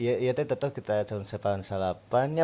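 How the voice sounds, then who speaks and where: This man's voice has a dark, mellow tone. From Bandung, West Java, Indonesia; West Java, Indonesia. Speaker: musician, football fan; podcast guest. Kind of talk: casual chat. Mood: relaxed storytelling. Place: studio. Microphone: studio mic.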